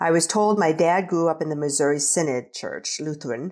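On a very clean recording with a silent background, a woman with an American accent speaks in a normal speaking voice, her pitch fairly low and her intonation lively. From US Midwest, rural Nebraska. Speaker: adult adoptee. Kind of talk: casual interview.

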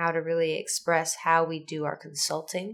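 A woman speaks in a fairly low-pitched voice. The recording is very clean, with a silent background. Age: 30s. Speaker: podcast host. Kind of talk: casual monologue.

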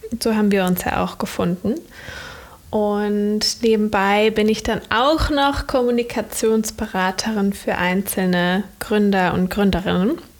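A woman at a fairly slow pace with very even loudness, over noticeable background noise. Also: medium pitch for a woman, ordinary pitch variation. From Germany, Cologne. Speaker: entrepreneur and communication consultant, content creator. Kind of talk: interview, casual chat. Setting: video call from laptop.

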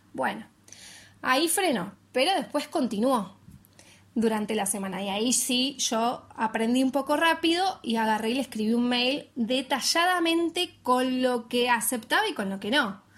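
A woman talks fairly slowly in a high pitch, her intonation lively. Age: 30s. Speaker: podcaster. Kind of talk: casual monologue. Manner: consciously slowed pace.

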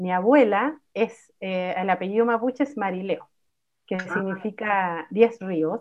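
At a fairly slow pace, a woman with a plain, everyday voice speaks in a medium pitch with ordinary pitch variation. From Chile, Santiago (El Bosque). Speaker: musician and psychologist. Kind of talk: casual chat.

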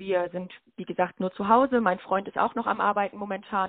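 At a fairly quick pace, a woman with a medium-pitched, plain, everyday voice talks with fairly even intonation. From Lüdenscheid, Sauerland, Germany. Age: 20s. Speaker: student teacher and handball player. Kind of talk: casual interview. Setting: phone call.

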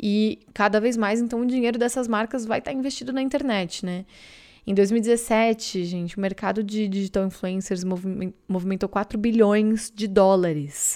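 A woman with a Brazilian accent, fairly high-pitched with a dark, mellow tone, ordinary pitch variation and a moderate pace, on a very clean recording with a silent background. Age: 20s. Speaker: content creator and podcaster. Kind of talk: casual solo monologue.

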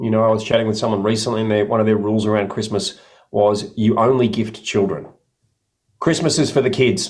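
A man with an Australian accent, medium pitch, and ordinary pitch variation. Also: fairly quick pace. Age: 50s. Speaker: podcast co-host. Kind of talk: casual chat.

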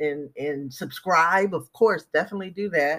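A woman speaks at a fairly slow pace with ordinary pitch variation and an unremarkable speaking voice. The recording is very clean, with a silent background. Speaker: podcast host. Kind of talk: devotional greeting and prayer. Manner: warm, fervent, uplifting.

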